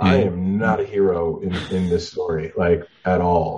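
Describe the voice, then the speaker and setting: A man speaks with a very deep, low pitch. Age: 50s. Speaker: poet and memoir author. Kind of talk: casual interview.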